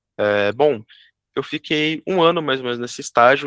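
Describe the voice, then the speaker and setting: A man speaks at a moderate pace with ordinary pitch variation. It is an ordinary speaking voice. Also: very clean recording, silent background. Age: 20s. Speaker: junior software developer and student. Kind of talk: interview.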